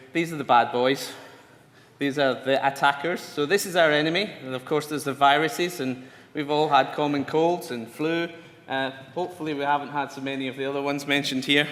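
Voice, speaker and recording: A man talks with a Glasgow accent and fairly even intonation. Audible room echo surrounds his voice. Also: fairly high pitch for a man, fairly quick pace. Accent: Scottish (Glasgow). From Scotland. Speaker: scientist lecturer. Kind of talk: lecture. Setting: conference talk to audience.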